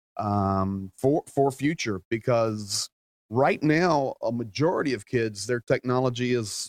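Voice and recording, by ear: At a fairly slow pace, a man talks with a slightly mellow tone in a dry, close sound with no echo.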